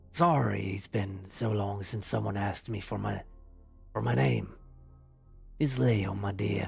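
Faint music plays behind a man doing a put-on character voice, raspy and fairly low-pitched. He moves at a fairly slow pace with very wide pitch swings. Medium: read story. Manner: charming, tender, old-fashioned courtesy.

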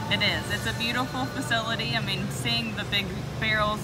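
Music plays in the background. A woman speaks at a fairly quick pace. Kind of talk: interview answer. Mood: upbeat, smiling. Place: factory.

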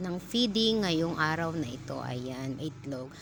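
With lively intonation, a woman in an unremarkable speaking voice talks at a fairly slow pace. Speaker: vlogger and mother. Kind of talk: casual vlog voice-over.

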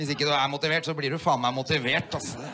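Fairly quick speech from a man, over a quiet background. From Oslo, Norway. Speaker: stand-up comedian. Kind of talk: stand-up comedy routine. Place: stage. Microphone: handheld.

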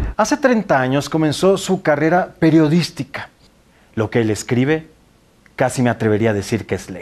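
This man's pitch is fairly high and swings very widely. He talks at a moderate pace. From Tabasco, Mexico. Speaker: TV news anchor and host. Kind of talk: TV interview. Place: studio. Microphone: lapel.

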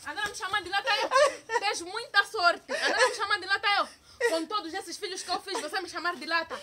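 A woman speaks at a fairly quick pace in a raised, projected voice with ordinary pitch variation. Noticeable background noise runs underneath. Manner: slurred drunken ranting, acted.

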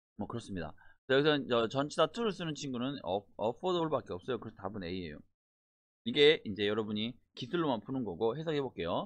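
A man at a medium pitch, fairly quick pace and very wide pitch swings. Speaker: English test instructor. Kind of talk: lecture. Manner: casual explanatory.

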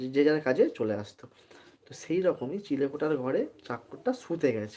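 His tone is dark and mellow. The man's pitch sits fairly high, with lively intonation. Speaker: live-stream storyteller. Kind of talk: casual storytelling livestream. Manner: halting, many pauses and fillers.

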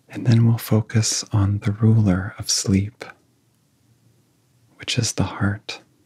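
A somewhat breathy man at a fairly low pitch, with a dark, mellow tone, monotone, flat intonation, a very slow pace and long, frequent pauses, in a quiet background. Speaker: meditation guide. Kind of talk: guided sleep hypnosis. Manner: soft-spoken. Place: home room.

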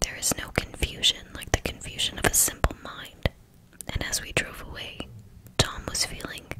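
Over loud background noise, a soft-spoken voice whispers at a moderate pace. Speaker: audiobook reader. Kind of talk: reading a novel aloud. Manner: soft whispered ASMR book reading.

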